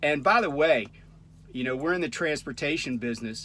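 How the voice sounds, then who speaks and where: Pitch varies in an ordinary way as a man talks. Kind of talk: casual vlog chat. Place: car. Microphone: phone near.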